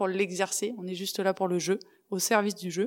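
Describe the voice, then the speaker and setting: A woman talks at a moderate pace in a medium pitch, with a plain, everyday voice. The recording is very clean, with a silent background. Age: 40s. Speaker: former hockey player and international referee. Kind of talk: interview testimony. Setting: studio.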